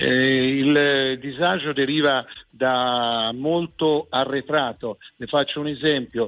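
A man speaks at a very slow pace. His medium-pitched voice keeps a fairly even intonation. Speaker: regional president. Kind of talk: radio interview. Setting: remote link.

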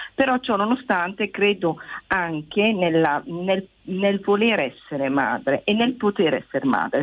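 A woman's medium-pitched voice with very wide pitch swings at a fairly slow pace. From Italy. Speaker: teacher calling in. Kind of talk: radio phone-in call.

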